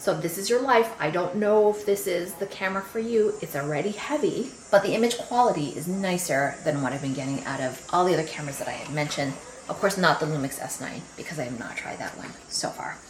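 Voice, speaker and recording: Over noticeable background noise and audible room echo, a woman talks very fast with hardly any pauses. Her fairly low voice has lively intonation and big swings in loudness. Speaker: camera reviewer vlogger. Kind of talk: casual vlog review. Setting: outdoors in backyard. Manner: quiet, not projecting.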